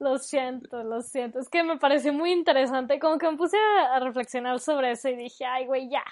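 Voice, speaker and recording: A woman speaks at a fairly quick pace with a high voice, hardly pausing and using ordinary pitch variation. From northern Mexico, Torreón. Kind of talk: casual chat.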